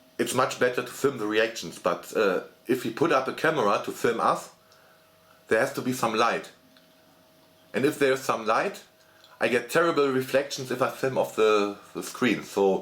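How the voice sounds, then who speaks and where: A man with a German accent and long, frequent pauses. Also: moderate pace. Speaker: gaming YouTuber. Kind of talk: casual channel update monologue. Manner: halting, many fillers and repetitions.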